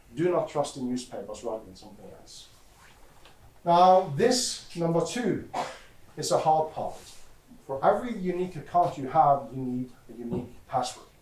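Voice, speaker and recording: A man's fairly high voice at a moderate pace, with very wide pitch swings, big shifts in loudness, long and frequent pauses, and audible room echo. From Norway, west coast (Haugesund). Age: 40s. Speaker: security expert, conference speaker. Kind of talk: conference talk.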